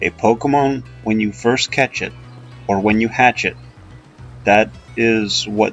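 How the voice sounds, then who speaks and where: A man speaks at a fairly slow pace in a medium pitch, with music in the background. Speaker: gaming video host. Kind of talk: casual gameplay commentary. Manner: hesitant, many filler sounds.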